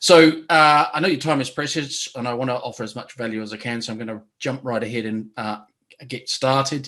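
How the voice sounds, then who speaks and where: A man with a New Zealand accent at a medium pitch, quick-paced, in a bright, sharp tone with ordinary pitch variation. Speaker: business coach. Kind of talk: webinar presentation. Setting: online webinar. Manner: hesitant with fillers.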